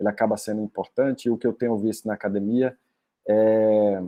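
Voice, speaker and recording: Here a man speaks with a Brazilian accent. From Brazil, Northeast (Rio Grande do Norte, Paraíba). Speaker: doctoral researcher. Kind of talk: academic lecture. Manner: halting, many fillers.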